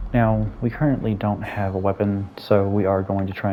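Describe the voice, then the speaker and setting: This man's tone is dark and mellow. He talks fairly quickly. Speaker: gaming YouTuber. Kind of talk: let's play commentary. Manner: casual, halting with fillers.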